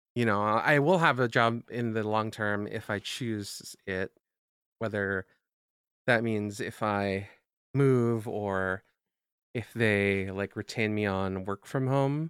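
Speaking at a very slow pace with ordinary pitch variation, a man with a fairly low voice is heard in a dry, close sound with no echo on a very clean recording with a silent background. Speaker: podcast co-host. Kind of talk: casual chat.

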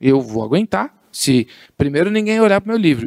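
A man at a moderate pace with very wide pitch swings, in a dry, close sound with no echo. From Guarulhos, São Paulo state, Brazil. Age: 40s. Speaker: entrepreneur and communicator. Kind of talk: casual interview chat.

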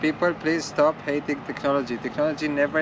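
A fairly high pitch marks this man's voice as he talks at a fairly quick pace through noticeable background noise. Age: 40s. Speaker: tech company co-founder. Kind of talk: casual chat.

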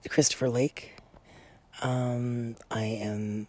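A woman speaks quietly at a very deep, low pitch. Her tone is dark and mellow. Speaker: podcast host. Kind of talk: casual podcast monologue. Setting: outdoors on a deck.

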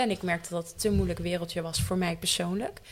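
A woman's ordinary speaking voice, fairly low-pitched, with fairly even intonation, in a very clean recording over a silent background. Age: 20s. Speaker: actor and theatre maker. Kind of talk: casual chat.

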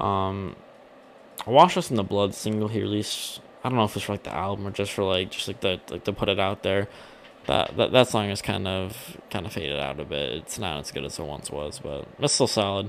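A man speaks at a fairly low pitch with vocal fry. His intonation is lively. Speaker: podcast host. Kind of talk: casual solo podcast monologue. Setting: home recording with a mic. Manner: halting, stumbling with many repeats and fillers.

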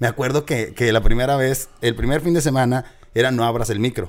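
Recorded very cleanly over a silent background, a man with a normal speaking voice talks at a medium pitch with ordinary pitch variation. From Monterrey, Nuevo León, Mexico. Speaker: radio host. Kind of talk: casual interview.

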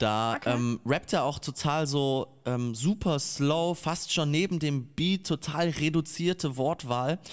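On a very clean recording with a silent background, a man speaks at a very slow pace with hardly any pauses, very even loudness, a fairly high pitch and ordinary pitch variation. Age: 20s. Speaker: rapper. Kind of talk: casual chat.

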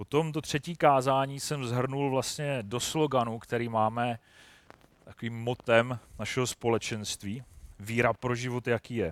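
In a normal speaking voice of medium pitch, a man talks at a fairly slow pace with fairly even intonation, in a very clean recording with a silent background and a dry, close sound with no echo. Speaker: lay preacher. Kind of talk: sermon.

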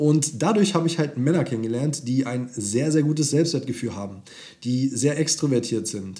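Medium in pitch, this man's voice has a dark, mellow tone. It is somewhat breathy. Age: 20s. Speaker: dating coach. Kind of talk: podcast monologue.

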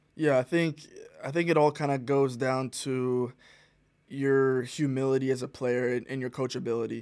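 This man has an ordinary speaking voice with an American accent, medium pitch, and fairly even intonation. He talks at a moderate pace on a very clean recording with a silent background. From US South, Rock Hill, South Carolina. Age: 20s. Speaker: professional soccer player. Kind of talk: interview.

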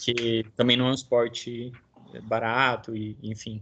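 Somewhat breathy, a man speaks at a medium pitch. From Brazil, interior of São Paulo state. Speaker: podcast host. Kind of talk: casual interview.

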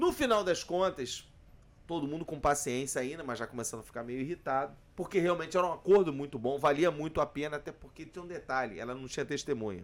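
Animated in tone, a man talks at a very fast pace and fairly high pitch with lively intonation and big swings in loudness. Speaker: labour lawyer. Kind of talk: casual chat. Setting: bar table.

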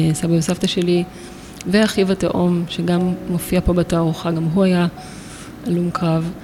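Spoken at a fairly slow pace with ordinary pitch variation, the voice sits over noticeable background noise. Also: woman. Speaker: photographer and artist. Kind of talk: interview. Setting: art gallery.

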